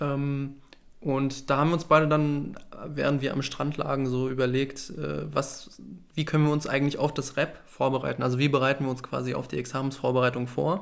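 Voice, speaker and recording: A man with a fairly high voice speaks at a moderate pace in a monotone, flat intonation. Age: 20s. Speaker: law student and podcast co-host. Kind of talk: casual chat.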